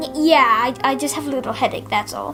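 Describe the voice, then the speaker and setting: A woman does a put-on character voice at a fairly quick pace, with clear music in the background. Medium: read story. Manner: dry, sardonic.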